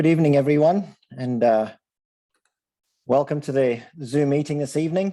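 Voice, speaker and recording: A man with an Australian accent and a dark, mellow tone talks at a moderate pace, his fairly high voice showing ordinary pitch variation, with long, frequent pauses. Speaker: sports nutrition presenter. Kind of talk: online presentation. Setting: video call.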